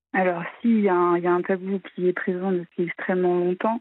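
A woman speaks at medium pitch. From Normandy, France. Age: 30s. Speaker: caller, incest survivor. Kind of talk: testimony. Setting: phone call.

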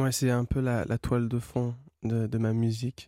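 A man at medium pitch with a dark, mellow tone and monotone, flat intonation at a moderate pace, in a dry, close sound with no echo and a very clean recording with a silent background. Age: young. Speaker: singer-songwriter. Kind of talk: radio interview.

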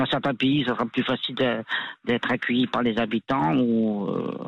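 With fairly even intonation, a man speaks at a fairly slow pace and a medium pitch. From France, Grenoble. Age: 50s. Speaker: adventure cyclist, former soldier. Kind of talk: radio interview. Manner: hesitant, many fillers.

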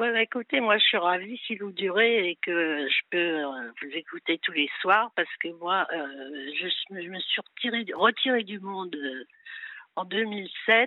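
Intonation is lively in this woman's speech. She talks at a very slow pace. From Paris. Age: 80s+. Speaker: caller. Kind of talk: phone-in call. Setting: phone call.

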